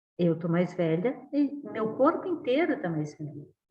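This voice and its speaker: With audible room echo, a woman uses lively intonation at a medium pitch and a very slow pace. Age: 60s. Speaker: professor. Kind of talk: lecture.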